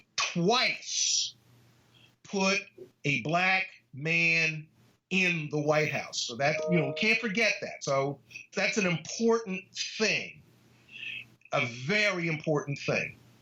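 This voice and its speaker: Over music in the background, a man with a high pitch speaks at a very slow pace with ordinary pitch variation and long, frequent pauses. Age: 60s. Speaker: law professor. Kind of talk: interview.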